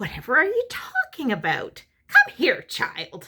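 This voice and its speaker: A female-sounding, croaky put-on character voice rises to an extremely high pitch. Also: moderate pace. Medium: read story. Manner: impatient.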